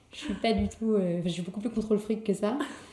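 The intonation is fairly even and the pace moderate, with noticeable background noise. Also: woman. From Paris, France. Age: 20s. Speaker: Instagram creator. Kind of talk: casual interview. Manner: halting.

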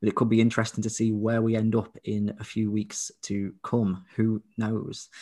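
In an English accent, a man speaks at a medium pitch with a dark, mellow tone in a very clean recording with a silent background. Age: 20s. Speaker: podcast co-host, visually impaired father. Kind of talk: casual chat.

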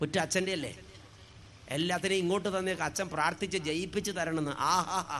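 A man's high voice has a bright, sharp tone. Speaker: priest. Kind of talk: sermon. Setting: stage with audience. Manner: animated.

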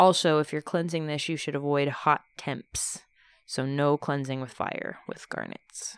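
In an American accent, a woman with a very deep, low voice speaks at a fairly slow pace in a monotone, flat intonation, recorded very cleanly against a silent background with a dry, close sound and no echo. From Texas. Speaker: podcast host. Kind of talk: casual chat with co-host about witchcraft. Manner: casual, joking.

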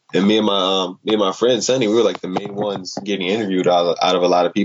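A man with an unremarkable speaking voice, an American accent, a fairly low pitch and fairly even intonation. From Chicago, US. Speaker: dance artist. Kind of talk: casual storytelling interview.

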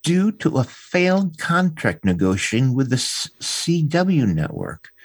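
A man speaks at a fairly slow pace, somewhat breathy, with very wide pitch swings. The background is quiet. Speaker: podcast co-host discussing classic TV. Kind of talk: casual chat. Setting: live-streamed online recording.

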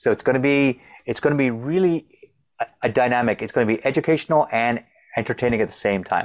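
A man with a General American accent at a very fast pace, medium in pitch, energetic in tone, with ordinary pitch variation, in a dry, close sound with no echo and a quiet background. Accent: general American, can switch to Indian. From India, raised in Philadelphia. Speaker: mindset coach and karate teacher. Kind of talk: interview. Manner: stutters.

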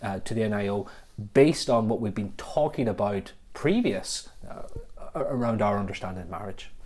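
A man with a Northern Irish accent speaks at a moderate pace, his fairly low pitch showing ordinary variation. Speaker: podcast host and church officer. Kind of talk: casual podcast conversation.

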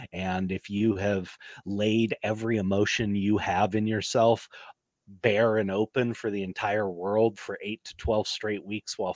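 On a very clean recording, dry and close with no echo over a silent background, a man with a normal speaking voice talks fairly slowly at a fairly low pitch. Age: 40s. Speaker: podcast co-host. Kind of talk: casual chat.

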